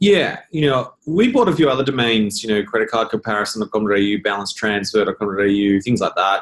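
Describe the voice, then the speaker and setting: Talking with an Australian accent, a man keeps a moderate pace. He leaves hardly any pauses. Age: 40s. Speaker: business founder. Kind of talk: interview.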